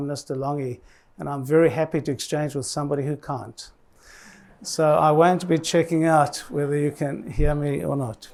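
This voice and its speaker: Here a man speaks with a New Zealand accent at a moderate pace. His pitch is fairly high. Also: very clean recording, silent background. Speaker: health commissioner. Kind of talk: conference speech.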